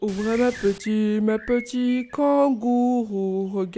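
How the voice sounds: Just a natural reading voice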